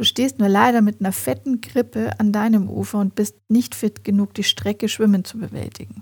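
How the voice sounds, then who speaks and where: A woman speaks at a moderate pace with hardly any pauses, in a dry, close sound with no echo. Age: 40s. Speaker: podcast host and family coach. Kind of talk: solo podcast monologue.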